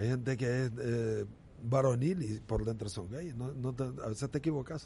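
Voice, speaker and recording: A man talks at a moderate pace and medium pitch, with ordinary pitch variation. His tone is dark and mellow, and somewhat breathy. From Nicaragua, Estelí. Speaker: former baseball pitcher. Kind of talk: casual interview.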